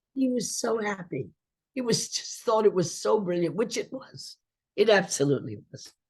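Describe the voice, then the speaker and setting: A woman's somewhat breathy voice of medium pitch. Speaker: actress. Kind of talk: interview answer.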